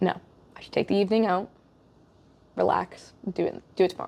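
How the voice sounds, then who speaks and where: A woman speaks with an American accent. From USA. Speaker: podcast host. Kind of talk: casual chat. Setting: in person.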